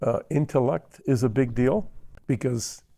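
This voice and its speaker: Recorded very cleanly against a silent background, a man's medium-pitched voice has a dark, mellow tone and ordinary pitch variation. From Argentina. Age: 80s+. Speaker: entrepreneur. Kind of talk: interview.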